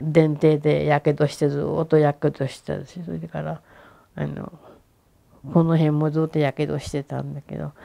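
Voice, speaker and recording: Speaking with a Hiroshima accent, a woman talks at a moderate pace with big swings in loudness against a quiet background. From Hiroshima, Japan; Japan. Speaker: atomic bomb survivor. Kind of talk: testimony. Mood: calm, at times emotional. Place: home room. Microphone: lapel.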